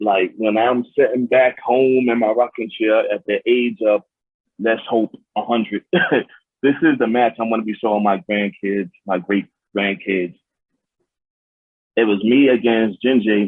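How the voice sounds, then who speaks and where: A man in a New York accent, fairly slow and with fairly even intonation. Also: medium pitch for a man. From New York City. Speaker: pro wrestler. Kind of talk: interview.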